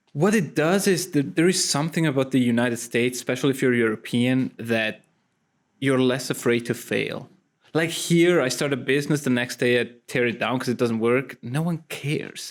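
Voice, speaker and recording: A man with a Swiss-Italian accent speaks at a moderate pace and medium pitch with ordinary pitch variation. The recording is very clean, with a silent background. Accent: foreign accent, Swiss-Italian. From Switzerland, Italian parents. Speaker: actor. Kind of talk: casual interview chat. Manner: animated, with frequent repetitions.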